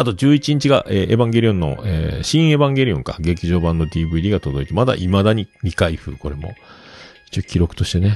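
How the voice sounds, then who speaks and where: A man's very deep, low pitch with very wide pitch swings, a fairly quick pace and noticeable background noise. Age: 50s. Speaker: podcast host. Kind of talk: casual solo talk. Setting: home studio.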